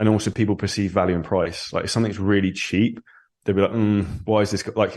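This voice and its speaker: Spoken in a southern English accent, the voice stays monotone with flat intonation against a quiet background. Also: man. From England (Surrey). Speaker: online fitness coach, entrepreneur. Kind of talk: podcast interview.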